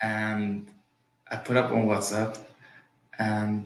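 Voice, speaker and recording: A man with a non-native accent, audible room echo and music in the background. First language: Yiddish. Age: 40s. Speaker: real estate agent. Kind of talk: interview. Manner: halting, repetitive starts.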